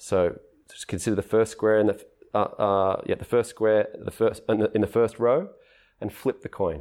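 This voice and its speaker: A man with an Australian accent speaks at a fairly low pitch and a moderate pace. The recording is very clean with a silent background. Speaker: philosopher of mathematics. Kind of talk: interview conversation. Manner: halting, many restarts.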